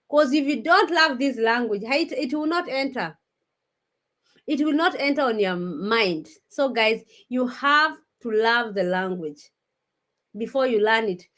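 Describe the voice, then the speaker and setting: Against a silent background on a very clean recording, a woman speaks at a high pitch with very wide pitch swings. She moves at a fairly slow pace with long, frequent pauses. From Kenya. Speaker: vlogger. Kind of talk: casual chat. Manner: halting.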